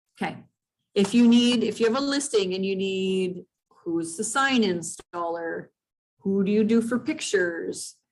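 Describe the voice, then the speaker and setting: A woman's plain, everyday voice, medium in pitch with ordinary pitch variation, at a fairly slow pace. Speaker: real estate trainer. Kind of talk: training session. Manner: casual.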